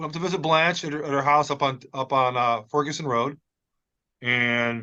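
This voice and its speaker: A man talks at a medium pitch with a bright, sharp tone. His intonation is fairly even and his pace moderate. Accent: American. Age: 60s. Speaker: podcast co-host. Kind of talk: casual chat.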